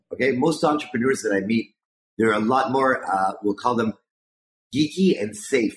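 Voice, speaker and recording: Lively intonation marks this man's normal speaking voice. He keeps a medium pitch and a moderate pace. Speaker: podcast co-host. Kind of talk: interview.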